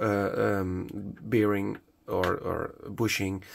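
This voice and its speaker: With a Dutch accent, a man speaks at a fairly low pitch and with fairly even intonation. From Netherlands. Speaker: hobbyist product maker. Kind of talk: tutorial. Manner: halting, many fillers.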